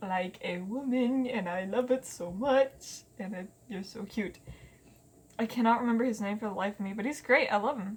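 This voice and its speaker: This voice carries ordinary pitch variation, sounds somewhat breathy, and keeps a moderate pace. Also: woman. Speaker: vlogger. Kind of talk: casual chat. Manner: halting, stuttering.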